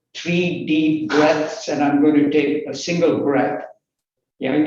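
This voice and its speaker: Fairly high male voice with audible room echo. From Malaysia. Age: 80s+. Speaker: workshop speaker. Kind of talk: online professional talk.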